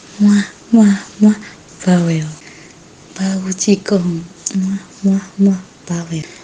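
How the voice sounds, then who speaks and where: A woman speaks with a West Javanese accent at a medium pitch and fairly even intonation. Noticeable background noise runs behind her. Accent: Sundanese. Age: 50s. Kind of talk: private voice messages to a romance partner.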